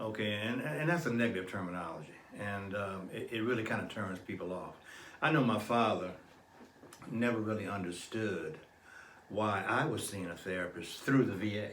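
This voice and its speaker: A man speaks at a moderate pace in a fairly low voice with ordinary pitch variation. Noticeable background noise and audible room echo fill the recording. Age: 70s. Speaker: psychologist and Vietnam war veteran. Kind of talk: interview.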